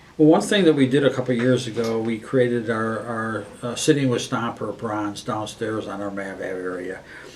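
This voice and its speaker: A man with an American accent speaks at a moderate pace and medium pitch. His pitch varies in an ordinary way, and there is noticeable background noise. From Western New York State. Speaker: student union director. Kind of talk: interview. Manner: hesitant, many fillers and restarts.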